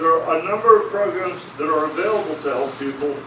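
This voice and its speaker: Music plays behind a man speaking at a moderate pace. His fairly high pitch has ordinary variation, and there is audible room echo. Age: 70s. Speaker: political candidate. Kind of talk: candidate forum answer.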